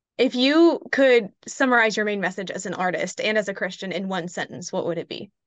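A woman speaks in an ordinary speaking voice at a medium pitch and a fairly quick pace. Her intonation is lively, with hardly any pauses. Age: 20s. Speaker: podcast host. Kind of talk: casual interview.

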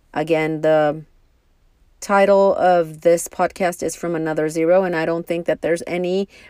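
With a Spanish accent, a woman at a fairly low pitch speaks with ordinary pitch variation on a very clean recording with a silent background and a dry, close sound with no echo. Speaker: podcast host. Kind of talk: solo monologue. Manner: slow, halting.

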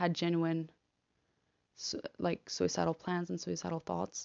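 A woman's fairly low voice holds a monotone, flat intonation. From Argentina. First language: Spanish. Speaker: podcaster, law student. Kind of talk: personal monologue. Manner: halting, hesitant.

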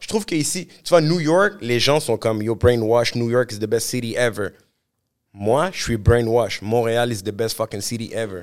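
Speaking fairly slowly with lively intonation, a man at medium pitch is heard on a very clean recording with a silent background. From Montreal, Quebec. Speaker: musician. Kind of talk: casual interview. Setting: studio. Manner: animated.

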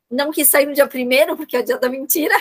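A woman speaks with a high pitch. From São Paulo city, Brazil. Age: 50s. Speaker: psychoanalyst and neuropsychologist. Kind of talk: interview about personal experience.

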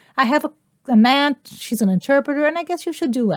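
A woman's high voice swings very widely in pitch at a fairly quick pace, recorded very cleanly against a silent background with a dry, close sound and no echo. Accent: Brazilian. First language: Portuguese. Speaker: interpreter and voice actor. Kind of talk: interview.

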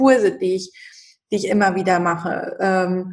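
Her pitch medium, a woman with an ordinary speaking voice talks at a moderate pace with ordinary pitch variation. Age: 30s. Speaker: shaman and spiritual coach. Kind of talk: interview.

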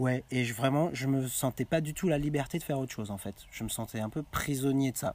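The speech moves fairly quickly with hardly any pauses. Pitch varies in an ordinary way. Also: man, medium pitch for a man. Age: 30s. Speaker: coach. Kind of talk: casual chat. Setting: outdoors. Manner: halting.

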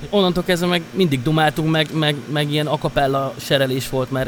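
A man against noticeable background noise. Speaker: DJ and music producer. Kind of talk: casual interview chat.

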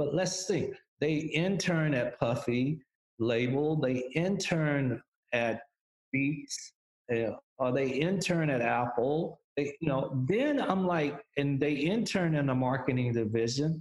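Very slow and very even in loudness, a man's fairly high voice moves with ordinary pitch variation. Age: 60s. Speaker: music industry executive. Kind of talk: interview.

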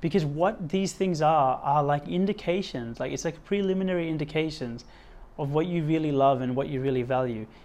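Speaking fairly quickly in an Australian accent, a man uses a fairly high pitch with ordinary pitch variation. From western suburbs of Sydney, Australia. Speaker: podcast host. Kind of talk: solo motivational monologue. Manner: animated, repetitive emphasis; gets louder when talking about personal development.

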